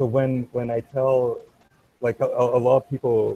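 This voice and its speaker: A man speaks fairly slowly at a medium pitch. His voice is somewhat breathy. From Canada, Montreal (French Canadian family). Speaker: podcast guest, political news show host. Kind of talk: casual chat. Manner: halting, many repetitions.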